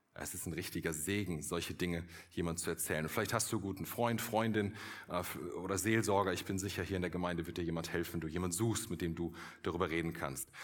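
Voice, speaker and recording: Very deep and low, a man's voice runs at a very fast pace. His intonation stays fairly even. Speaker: pastor. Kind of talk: sermon, earnest and direct, addressing the congregation as 'du' with appeals to decide. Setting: church. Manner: persuasive, warm, urgent, with emphatic repetition.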